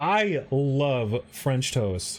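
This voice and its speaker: Very wide pitch swings mark a man's fairly high voice with an American accent. The recording is very clean, with a silent background. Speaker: streamer building model kits. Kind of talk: casual live stream chat while building. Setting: live stream.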